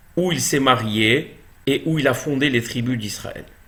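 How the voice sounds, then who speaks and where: Amid audible room echo, a man speaks at a very slow pace. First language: Hebrew now dominant over French (speaking French). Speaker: Torah teacher. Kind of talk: religious lecture.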